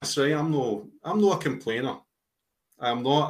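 This man has a Glasgow accent. He talks at a fairly quick pace. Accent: Scottish (Glasgow). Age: 40s. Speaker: football fan podcaster. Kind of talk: casual chat.

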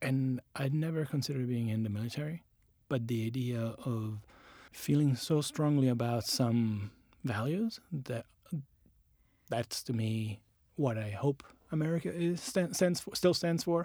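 A man with a medium-pitched voice and a dark, mellow tone speaks at a fairly slow pace, using lively intonation and long, frequent pauses. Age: 40s. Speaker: designer. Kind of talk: interview.

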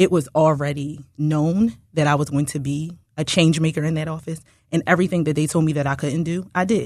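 A woman talks at a fairly quick pace with a very deep, low pitch. Her intonation is fairly even, and the background is quiet. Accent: American. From Baltimore, then Philadelphia from age 14. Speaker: political candidate, former deputy sheriff. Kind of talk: radio interview. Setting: studio.

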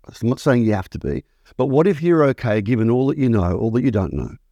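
In a dry, close sound with no echo and a very clean recording with a silent background, a man with an Australian accent speaks in a medium pitch with a dark, mellow tone and lively intonation. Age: 60s. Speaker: acting school founder and teacher. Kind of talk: interview conversation.

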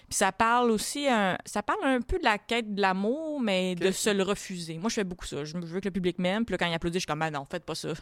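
A woman talks at a very fast pace. The recording is very clean with a silent background and a dry, close sound with no echo. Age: 20s. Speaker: comedian. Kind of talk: casual chat.

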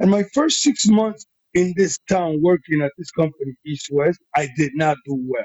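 Animated in tone, a man speaks at a moderate pace with lively intonation. His voice is somewhat breathy. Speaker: podcast guest, modeling agent. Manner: animated storyteller.

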